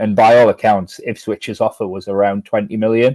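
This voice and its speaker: With a dark, mellow tone and fairly low pitch, a man speaks at a moderate pace in a monotone, flat intonation, the sound dry and close with no echo over a quiet background. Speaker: football journalist. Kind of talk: casual interview chat. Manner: hesitant, many fillers and repeats.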